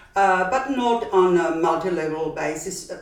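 Over noticeable background noise, a woman speaks at a very slow pace with a fairly low pitch and ordinary pitch variation. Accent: Austrian. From Austria. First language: German. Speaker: brand founder. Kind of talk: casual interview.

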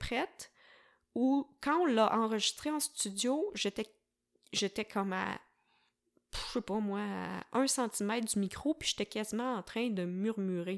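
A woman's fairly high, animated voice in a Quebec accent, with lively intonation, a fairly slow pace and long, frequent pauses, on a very clean recording with a silent background. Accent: Québécois French. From Quebec, south shore of Montreal (Varennes). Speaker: slam poet and musician. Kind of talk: casual interview conversation. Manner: animated, frequent laughter.

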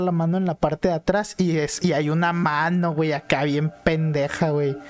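This is a man with a Mexican accent, recorded with a dry, close sound and no echo. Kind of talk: casual chat. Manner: animated.

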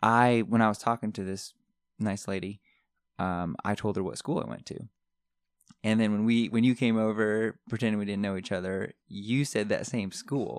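A man talks at a moderate pace in an ordinary speaking voice, fairly low and fairly even in intonation. The recording is very clean, with a silent background. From Connecticut, US Northeast. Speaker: dermatology PA, podcast host. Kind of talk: casual chat.

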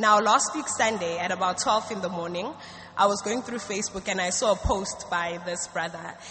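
Speaking at a medium pitch and a moderate pace with ordinary pitch variation, a woman is heard with audible room echo and noticeable background noise. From South Africa. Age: 20s. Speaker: student giving church testimony. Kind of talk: church testimony. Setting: church stage.

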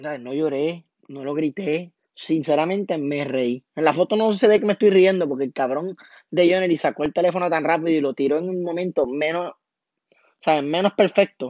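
The man's pitch is fairly high. He talks at a moderate pace in an animated tone. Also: ordinary pitch variation. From Puerto Rico (Toa Baja / Cataño). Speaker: podcaster. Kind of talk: casual monologue.

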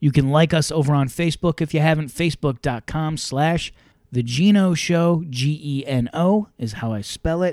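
A man with a normal speaking voice talks at a moderate pace and a fairly high pitch, with ordinary pitch variation, in a very clean recording with a silent background and a dry, close sound with no echo. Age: middle-aged. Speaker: podcast host, former radio host. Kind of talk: casual chat. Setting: livestreamed podcast.

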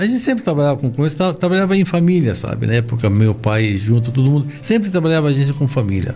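Noticeable background noise accompanies a man speaking at a fairly quick pace with a medium pitch. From Lebanon. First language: Arabic (speaking Portuguese). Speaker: shoe store chain owner. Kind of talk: interview. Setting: studio.

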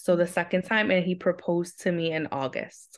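Against a quiet background, a woman with a New York accent speaks at a fairly low pitch. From Queens, New York. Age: 30s. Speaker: special education teacher. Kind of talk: casual interview.

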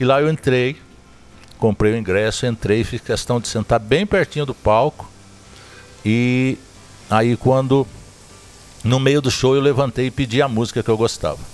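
Over music in the background, a man at a medium pitch speaks at a moderate pace with ordinary pitch variation and long, frequent pauses. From Zona da Mata, Minas Gerais, Brazil. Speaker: podcast host, sertanejo music storyteller. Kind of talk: casual interview chat. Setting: recorded at a countryside venue.

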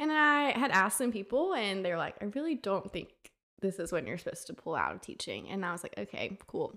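A woman with an Alabama accent talks at a fairly quick pace with vocal fry. Her bright, sharp, medium-pitched voice swings very widely in pitch. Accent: Southern US (Alabama). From US South, Tuscaloosa, Alabama. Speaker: wedding photographer, former Spanish teacher. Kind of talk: interview, personal testimony.

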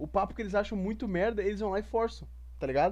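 A man against a quiet background. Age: 30s. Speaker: podcast host. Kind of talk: casual chat. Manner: animated.

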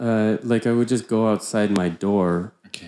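Speaking with an American accent, a man has a medium pitch, ordinary pitch variation and a dark, mellow tone at a fairly slow pace. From US Pacific Northwest. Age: young. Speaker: guest, musician. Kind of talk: casual chat.

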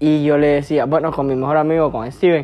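A man talks at a fairly high pitch in a Honduran accent. Music plays in the background. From Honduras, Lempira department. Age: 20s. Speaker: podcaster, university student. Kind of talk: casual monologue.

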